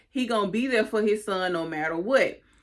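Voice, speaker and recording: On a very clean recording with a silent background, a woman has a plain, everyday voice. Her medium pitch shows ordinary variation, and she speaks at a moderate pace. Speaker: YouTube TV recapper. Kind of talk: casual recap commentary.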